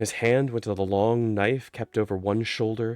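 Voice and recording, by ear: Fairly even intonation while reading aloud in a natural voice.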